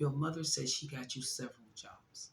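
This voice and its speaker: A woman's voice, very deep and low, comes across somewhat breathy and animated in tone. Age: 60s. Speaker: YouTube reaction commentator. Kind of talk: reaction commentary monologue.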